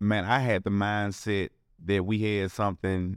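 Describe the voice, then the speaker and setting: In a Memphis accent, a man is heard in a dry, close sound with no echo on a very clean recording with a silent background. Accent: Southern US, Memphis. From Memphis, Tennessee. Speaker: restaurant co-owner. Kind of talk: casual interview chat. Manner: hesitant with many fillers.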